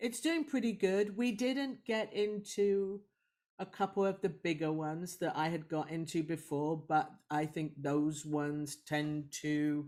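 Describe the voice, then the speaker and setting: With a British accent and a dark, mellow tone, a woman talks at a fairly slow pace with lively intonation on a very clean recording with a silent background. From UK. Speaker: film director. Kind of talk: interview answer. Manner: humorous, lively.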